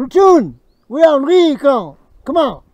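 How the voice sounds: The speaker puts on a high-pitched character voice with lively intonation. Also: moderate pace.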